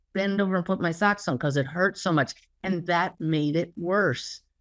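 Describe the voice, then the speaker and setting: The recording is very clean with a silent background as a woman speaks in a normal speaking voice at medium pitch, with a moderate pace and lively intonation. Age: 60s. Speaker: spiritual teacher and medium. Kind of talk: interview conversation.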